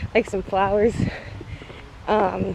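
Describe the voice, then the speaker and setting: A woman speaks with fairly even intonation, the sound dry with no echo but with noticeable background noise. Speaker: vlogger. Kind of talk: casual vlog chat. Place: open country. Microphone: phone near.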